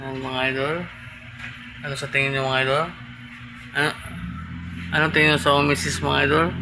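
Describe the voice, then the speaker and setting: The voice is quiet, with fairly even intonation and a fairly quick pace broken by long, frequent pauses. Noticeable background noise and audible room echo fill the recording. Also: man, fairly high pitch for a man. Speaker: tattoo artist vlogger. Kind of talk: casual vlog. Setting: indoors at home, mini shop.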